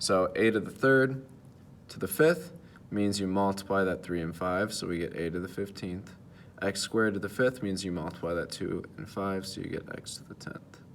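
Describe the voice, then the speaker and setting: A man is speaking. His pitch is fairly low, with ordinary variation. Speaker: math teacher. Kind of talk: tutorial. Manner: fast; hesitant with fillers.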